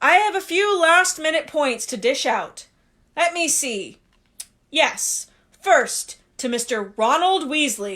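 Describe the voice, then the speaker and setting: A woman's put-on character voice, high in pitch, fairly slow with long, frequent pauses. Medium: read story. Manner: measured, ceremonious.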